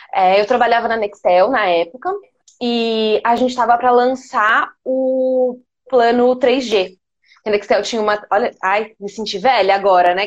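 A fairly high-pitched woman with an ordinary speaking voice, moderate in pace and ordinary in pitch variation. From Minas Gerais, Brazil (Poços de Caldas). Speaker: marketing planner. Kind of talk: casual interview.

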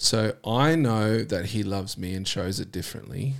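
On a very clean recording with a silent background, a man talks at a moderate pace with fairly low pitch, ordinary pitch variation, and vocal fry. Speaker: podcast host. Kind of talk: casual chat.

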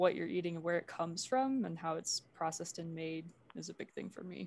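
A woman speaks in a plain, everyday voice at a fairly low pitch. Her pace is moderate. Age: young. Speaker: university student. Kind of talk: casual interview chat.

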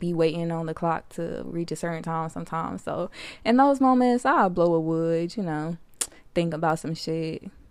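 The speech has ordinary pitch variation and a moderate pace, in a very clean recording with a silent background. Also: woman. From US, Detroit. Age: 20s. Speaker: podcast host, college student. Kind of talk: casual monologue. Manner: animated.

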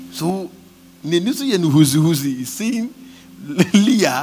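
A man's very slow speech with very wide pitch swings over noticeable background noise. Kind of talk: fervent charismatic prayer led over a congregation, with tongues and decrees. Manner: urgent, rhythmic and insistent, exhorting the crowd to pray aloud.

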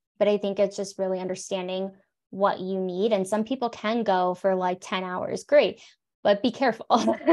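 With an American accent and a normal speaking voice, a woman speaks at a medium pitch and moderate pace with fairly even intonation against a quiet background. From South Florida. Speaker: psychologist and coach. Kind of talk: interview conversation.

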